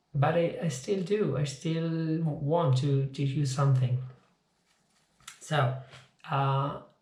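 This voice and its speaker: A man with a non-native accent, somewhat breathy, at a very slow pace with long, frequent pauses, fairly even intonation and very even loudness, in audible room echo. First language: not English. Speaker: physics teacher. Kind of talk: informal video lecture. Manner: halting, repeats words.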